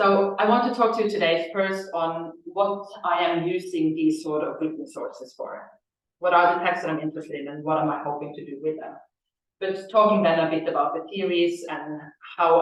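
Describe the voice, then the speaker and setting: Ordinary pitch variation and big swings in loudness at a moderate pace, with a Norwegian accent and audible room echo. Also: woman. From Norway. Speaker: Egyptologist researcher. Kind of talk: lecture. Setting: lecture hall with audience and Zoom.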